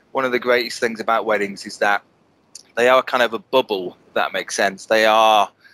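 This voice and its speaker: A man with a northern English accent, a bright, sharp tone, monotone, flat intonation, a fairly quick pace, and dry, close sound with no echo. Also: medium pitch for a man. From northern England, Bolton. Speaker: wedding photographer. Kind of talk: casual interview chat. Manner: hesitant, many repetitions.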